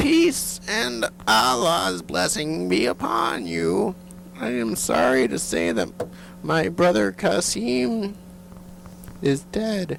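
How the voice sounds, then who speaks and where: Using a put-on character voice, a man speaks at a very slow pace with long, frequent pauses, medium pitch and very wide pitch swings. Clear background noise is heard. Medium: audio drama. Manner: gracious, polite.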